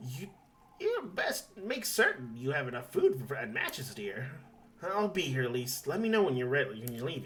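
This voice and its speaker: Using a put-on character voice, a man talks at a moderate pace and a fairly high pitch. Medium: game stream. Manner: warm, fussing.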